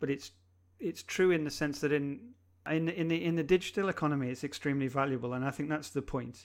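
A man with a plain, everyday voice speaks at a fairly high pitch with ordinary pitch variation. The recording is very clean, with a silent background. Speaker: digital transformation consultant. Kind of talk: casual interview.

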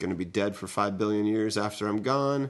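The background stays quiet while a man with an unremarkable speaking voice talks, his pitch fairly low and its variation ordinary. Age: 30s. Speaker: podcast co-host, game designer. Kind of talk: casual chat.

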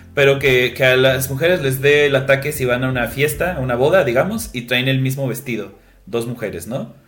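Music plays in the background. A man talks at a very fast pace with ordinary pitch variation. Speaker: podcast co-host. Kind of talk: casual chat. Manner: halting, many fillers.

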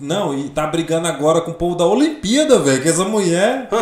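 A man speaks with a high pitch and lively intonation. Noticeable background noise sits behind him. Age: 20s. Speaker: comedian and architect. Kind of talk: casual chat.

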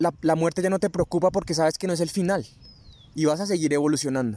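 Recorded very clean with a silent background and a dry, close sound with no echo, a man speaks at a fairly high pitch with ordinary pitch variation. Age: 20s. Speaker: spiritual podcast host. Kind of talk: spiritual talk. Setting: outdoors in a park.

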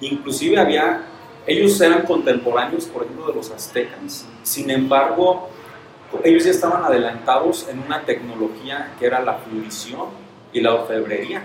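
There is noticeable background noise and audible room echo. Through it, a man speaks at a moderate pace. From Mexico, Michoacán (Santa Clara del Cobre). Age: 30s. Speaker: entrepreneur. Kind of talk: interview.

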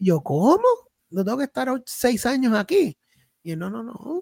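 A man keeps a moderate pace, his sound dry and close with no echo. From Puerto Rico (Salinas, south coast). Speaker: pastor and theology student. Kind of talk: casual interview.

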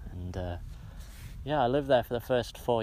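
In a Cumbrian accent, a man speaks with a dark, mellow tone and ordinary pitch variation. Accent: Cumbrian northern English. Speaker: podcaster. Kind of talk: casual monologue. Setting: outdoors on a hilltop. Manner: halting, many filler sounds.

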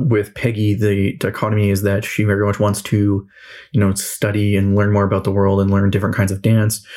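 In a Western Canadian accent, a man speaks at a fairly low pitch with monotone, flat intonation. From Western Canada (Kelowna, British Columbia). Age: 20s. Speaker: podcast host and tabletop game master. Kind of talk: casual solo monologue.

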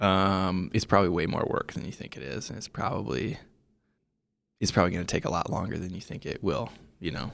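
With a very deep, low pitch and vocal fry, a man speaks at a fairly quick pace with lively intonation and big swings in loudness, on a very clean recording with a silent background. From US Midwest, Iowa. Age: 30s. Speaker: writer and adventure filmmaker. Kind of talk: interview. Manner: halting, many fillers.

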